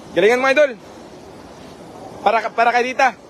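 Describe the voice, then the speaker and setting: Over noticeable background noise, a man with an extremely high pitch talks at a fairly quick pace. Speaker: live stream commentator. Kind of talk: live stream commentary. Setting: live stream with viewers. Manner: animated.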